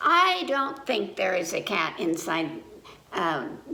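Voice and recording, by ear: With vocal fry and a bright, sharp tone, a woman speaks slowly in a put-on character voice with big pitch swings and audible room echo. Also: medium pitch for a woman.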